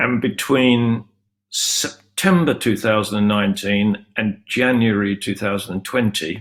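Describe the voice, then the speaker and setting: Slowish and fairly low-pitched, a man speaks with a British accent and ordinary pitch variation. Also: very clean recording, silent background. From UK. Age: 70s. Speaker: cancer patient. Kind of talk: personal testimony. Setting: virtual conference.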